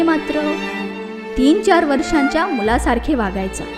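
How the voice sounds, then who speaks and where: This woman's pitch swings very widely, with music playing in the background. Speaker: storyteller. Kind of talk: suspense story narration.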